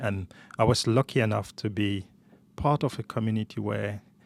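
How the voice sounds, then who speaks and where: Vocal fry runs through a man's voice, heard dry and close with no echo on a very clean recording with a silent background. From rural western Cameroon. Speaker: banker and coffee entrepreneur. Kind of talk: podcast interview. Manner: halting, repeats words.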